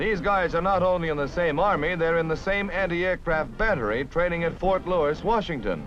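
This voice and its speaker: A man speaks with music in the background. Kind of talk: newsreel narration. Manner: fast, punchy.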